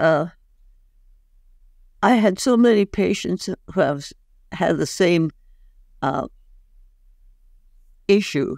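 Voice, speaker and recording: A woman speaks at a very slow pace with long, frequent pauses and lively intonation, the sound dry with no echo over a quiet background. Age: 80s+. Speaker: doctor; guest. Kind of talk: interview answer. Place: home room. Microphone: webcam.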